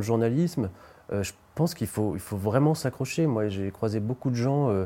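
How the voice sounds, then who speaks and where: The voice has a dark, mellow tone and ordinary pitch variation, moving at a moderate pace on a very clean recording with a silent background. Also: man. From western France (Nantes/Anjou area). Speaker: novelist and journalist. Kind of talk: interview. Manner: hesitant, frequent fillers.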